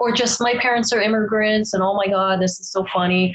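With a Canadian accent, a woman speaks at a fairly quick pace and medium pitch. Noticeable background noise is present. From Toronto, Canada. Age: 30s. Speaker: stand-up comedian. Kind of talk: casual chat.

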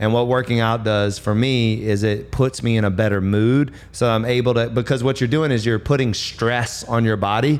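This man, with an American accent, has a medium pitch and an energetic tone. He keeps a moderate pace and very even loudness, with hardly any pauses. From US South. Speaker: podcast host. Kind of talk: casual interview. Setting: studio with small audience.

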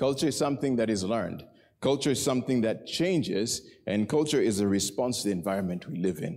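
Speaking at a very fast pace with lively intonation, a man's medium-pitched voice comes through with audible room echo. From Kenya. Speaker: preacher. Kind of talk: sermon.

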